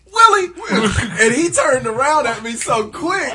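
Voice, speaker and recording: A man uses a put-on character voice pitched extremely high. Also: moderate pace. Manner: excited shout.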